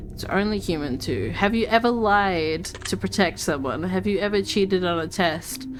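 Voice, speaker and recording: Over music in the background, a woman with a medium pitch speaks at a moderate pace with lively intonation and hardly any pauses. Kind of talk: casual talk while playing a game. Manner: stutters, slurs words together.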